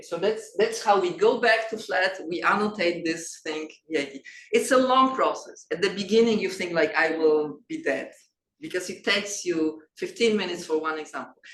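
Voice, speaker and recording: A woman with a Polish accent at medium pitch and a moderate pace, with audible room echo. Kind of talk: lecture. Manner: halting, with many fillers and restarts.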